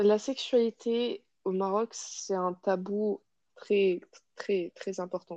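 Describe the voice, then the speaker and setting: Very slow and fairly even in intonation, a woman speaks at a medium pitch. Her tone is dark and mellow. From Morocco, Casablanca. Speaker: psychology student. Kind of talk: personal testimony interview. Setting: podcast recording. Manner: hesitant, many fillers and repetitions.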